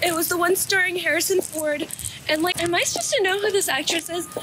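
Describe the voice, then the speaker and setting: A woman is talking with clear music playing in the background. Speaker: vlogger. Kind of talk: casual vlog talk to camera. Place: street. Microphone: phone near.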